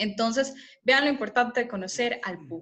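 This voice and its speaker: Woman at a fairly quick pace, with a fairly high pitch and lively intonation. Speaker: communication lecturer. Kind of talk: lecture. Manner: fast.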